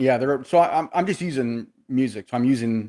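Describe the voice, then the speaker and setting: A man's dark, mellow voice at medium pitch, fairly quick in pace with ordinary pitch variation, in a dry, close sound with no echo. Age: 60s. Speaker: podcast host. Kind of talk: casual chat.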